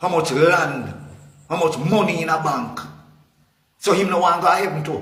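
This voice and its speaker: A man with a Jamaican accent speaks at a high pitch and a moderate pace. He takes long, frequent pauses amid audible room echo. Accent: Jamaican Patois-inflected English. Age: 60s. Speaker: political commentator. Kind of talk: impassioned rant. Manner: animated.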